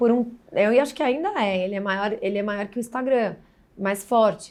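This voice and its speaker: A woman's fairly high voice, an ordinary speaking voice, at a moderate pace with ordinary pitch variation. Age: 40s. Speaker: digital marketing specialist. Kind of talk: podcast interview. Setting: bar.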